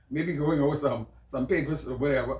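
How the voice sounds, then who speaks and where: A man speaks with a Bahamian accent. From Bahamas, Nassau. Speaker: podcast host. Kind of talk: personal storytelling monologue. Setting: small home office, on camera. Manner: halting, many repetitions.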